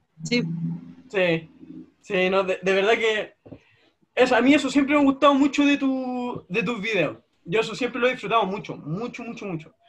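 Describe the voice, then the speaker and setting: Speaking at a moderate pace with long, frequent pauses, a man with a Chilean accent uses an extremely high pitch and ordinary pitch variation. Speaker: YouTuber interviewer. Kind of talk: casual interview.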